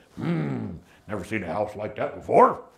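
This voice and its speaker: A man puts on a raspy character voice, fairly low in pitch, and keeps to a moderate pace. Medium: stage play. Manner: blustering, threatening.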